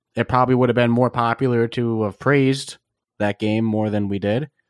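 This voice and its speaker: In a very clean recording with a silent background, a man speaks at medium pitch in a normal speaking voice. His pace is fairly quick, his intonation fairly even, and the sound dry and close with no echo. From US East Coast. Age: 20s. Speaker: podcast host. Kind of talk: casual interview.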